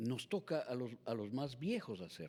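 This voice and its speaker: A man speaks at a fairly slow pace in a dark, mellow tone, his pitch swinging very widely, on a very clean recording with a silent background. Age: 60s. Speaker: political candidate. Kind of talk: political interview. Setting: TV and radio studio.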